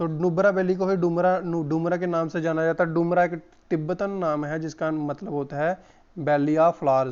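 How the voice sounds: Speaking at a moderate pace, a man with a fairly high pitch uses fairly even intonation and a clear, smooth, slightly mellow tone.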